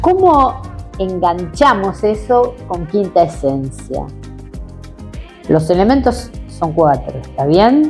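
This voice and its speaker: A woman speaking very slowly with long, frequent pauses, music in the background. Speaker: interviewer.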